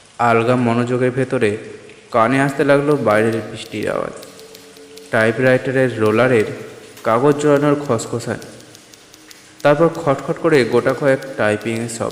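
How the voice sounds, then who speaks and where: A man at medium pitch with fairly even intonation, music in the background. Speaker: audio story narrator. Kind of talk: horror story narration, first-person reading.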